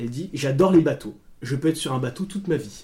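A man with a fairly high-pitched voice talks while noticeable background noise plays underneath. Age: 20s. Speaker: podcast co-host. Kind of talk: casual chat.

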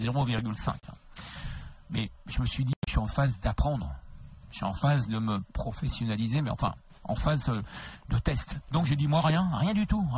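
A man with vocal fry speaks at a medium pitch and a fairly slow pace, using lively intonation. He takes long, frequent pauses. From Paris region (Créteil). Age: 60s. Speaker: radio host. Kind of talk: interview. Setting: studio.

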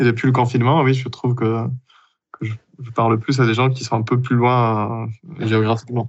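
A man at medium pitch with monotone, flat intonation, a moderate pace, and long, frequent pauses. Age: 30s. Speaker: consultant and researcher. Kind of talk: recorded testimony.

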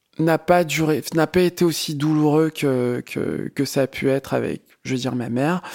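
A man's fairly high voice at a fairly slow pace, fairly even in intonation, dry and close with no echo, on a very clean recording with a silent background. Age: 30s. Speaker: podcast interviewee. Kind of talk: personal testimony. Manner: halting, many fillers.

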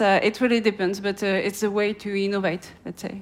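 A woman with a French accent, her pitch in the medium range. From France. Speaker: market analyst. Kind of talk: interview. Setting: outdoors. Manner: hesitant with fillers.

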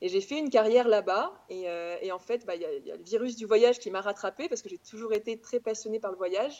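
A woman with a fairly high voice, a plain, everyday voice, speaks at a fairly quick pace with ordinary pitch variation and big swings in loudness. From France, Auvergne (Clermont-Ferrand). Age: 30s. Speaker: travel blogger. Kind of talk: casual chat.

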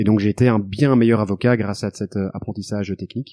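Against a quiet background, a man with a fairly low pitch speaks at a moderate pace in a monotone, flat intonation, the sound dry and close with no echo. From Brussels, Belgium. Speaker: legal tech entrepreneur, former lawyer. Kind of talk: interview.

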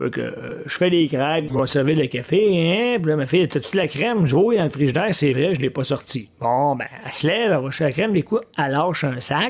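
A man speaks with a Quebec accent at a moderate pace. His fairly high voice has lively intonation. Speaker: podcast host. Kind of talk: solo monologue podcast. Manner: casual, conversational.

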